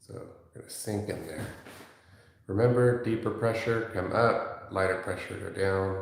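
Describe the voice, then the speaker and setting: Soft-spoken and fairly low-pitched, a man talks at a fairly slow pace with fairly even intonation and big swings in loudness, amid audible room echo and noticeable background noise. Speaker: massage therapist. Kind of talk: live-stream massage demonstration. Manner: soft-spoken, talking low.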